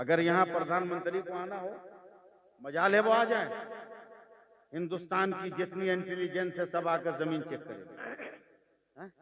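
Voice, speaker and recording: A man with a high-pitched voice and fairly even intonation speaks with long, frequent pauses and big swings in loudness. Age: 60s. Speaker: Islamic preacher. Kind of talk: religious speech.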